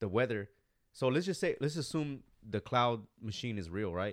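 On a very clean recording with a silent background, a man with an unremarkable speaking voice talks at a medium pitch with lively intonation. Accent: American. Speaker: podcast host. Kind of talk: casual chat.

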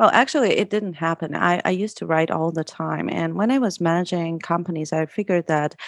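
Her voice fairly low in pitch with ordinary variation, a woman speaks with an American accent in a dry, close sound with no echo. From US, lives in Russia. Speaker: copywriter and business owner. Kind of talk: interview conversation.

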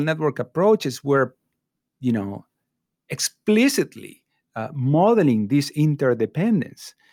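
A man with an Argentine accent speaks at a fairly high pitch with lively intonation, in a very clean recording with a silent background and a dry, close sound with no echo. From Argentina (Córdoba province). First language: Spanish. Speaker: professor. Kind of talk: interview conversation. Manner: hesitant, many fillers.

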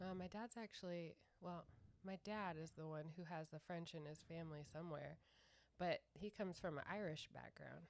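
Here a woman with a plain, everyday voice uses an American accent. Her fairly low pitch stays fairly even at a moderate pace. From California. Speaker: host's fiancée. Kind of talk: casual chat.

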